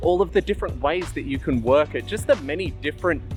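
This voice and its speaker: A man with an Australian accent talks at a fairly quick pace while music plays in the background. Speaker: costume maker. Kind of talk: casual talk to camera.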